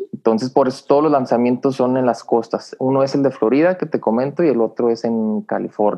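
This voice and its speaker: Music can be heard in the background. The talking goes along at a fairly quick pace. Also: man, medium pitch for a man, ordinary pitch variation, hardly any pauses. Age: 30s. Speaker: engineer, former space agency worker. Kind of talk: casual interview.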